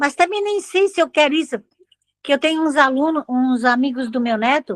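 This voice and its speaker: Lively intonation runs through this woman's speech. She has a high pitch and a moderate pace. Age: 70s. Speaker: retired teacher and catechist. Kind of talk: casual chat.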